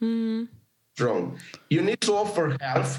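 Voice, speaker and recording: A man with a Romanian accent and lively intonation. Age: 40s. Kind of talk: interview conversation.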